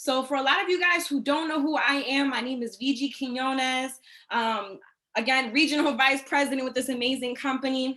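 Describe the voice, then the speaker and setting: A woman talks in a raised, projected voice that is high-pitched, with a bright, sharp tone. Her pace is fairly quick. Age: 20s. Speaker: network marketing executive. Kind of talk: training presentation. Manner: animated.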